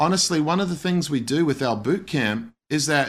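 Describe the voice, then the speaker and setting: On a very clean recording with a silent background, a man with an Australian accent speaks at a fairly slow pace. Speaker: missionary pastor. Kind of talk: interview testimony.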